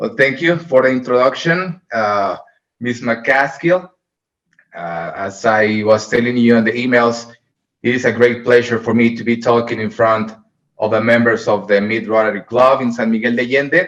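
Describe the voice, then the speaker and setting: Here a man talks at a moderate pace with a Mexican accent. His pitch is medium and varies in an ordinary way. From Mexico, Puerto Vallarta. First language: Spanish. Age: 30s. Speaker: hospital medical director. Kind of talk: presentation to a club. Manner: halting.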